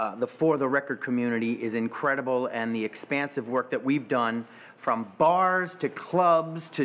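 This man talks at a moderate pace with lively intonation and an American accent. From New York (Brooklyn). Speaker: stage actor. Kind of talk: interview monologue. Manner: animated. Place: home room.

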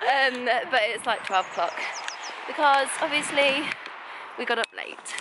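A woman at a fairly slow pace, ordinary pitch variation, dry sound with no echo, noticeable background noise. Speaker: vlogger. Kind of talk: casual vlog chat. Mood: cheerful, playful. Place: waterside. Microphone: phone near.

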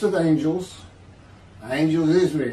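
Fairly slow speech from a man, ringing with audible room echo. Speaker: religious commentator. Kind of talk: sermon. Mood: earnest, measured. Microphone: webcam.

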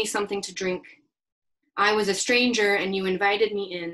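A woman speaks at a medium pitch with a fairly bright tone.

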